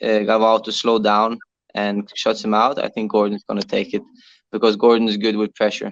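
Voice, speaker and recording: Against a quiet background, a man with a Norwegian accent is heard in a dry, close sound with no echo. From Norway. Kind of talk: interview. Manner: halting, many fillers.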